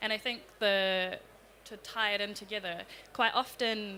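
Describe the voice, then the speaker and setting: A woman speaks with a New Zealand accent at a medium pitch. Her tone is bright and sharp, and her intonation is fairly even. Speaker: youth climate activist. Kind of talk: panel discussion.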